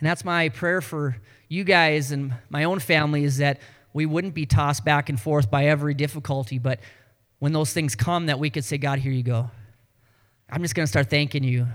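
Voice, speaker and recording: Recorded very cleanly on a silent background, a man with a Canadian accent and fairly high pitch talks at a fairly quick pace with ordinary pitch variation. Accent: sounds Canadian. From North Dakota. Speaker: pastor. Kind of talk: sermon.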